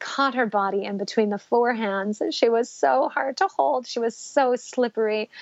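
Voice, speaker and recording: A woman's fairly high-pitched, fairly slow delivery in a plain, everyday voice. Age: 30s. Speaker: mother sharing birth story. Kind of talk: testimony.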